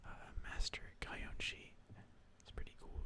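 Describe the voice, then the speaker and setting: Someone whispers at a moderate pace. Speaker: ASMR content creator. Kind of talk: casual talk to camera while reading card names; ASMR video.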